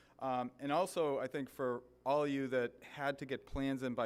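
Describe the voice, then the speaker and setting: Here a man speaks with a Boston accent at a fairly quick pace. His medium pitch stays monotone and flat. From US Northeast, Boston area. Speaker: government official. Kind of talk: ceremony speech. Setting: stage with audience. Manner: halting, many fillers.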